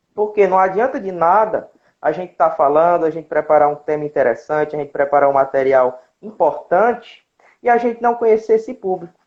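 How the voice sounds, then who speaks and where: A high-pitched man talks at a fairly quick pace. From Ceará, Brazil (Independência). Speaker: zootechnics student and speaker. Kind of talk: online talk / lecture. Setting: live stream.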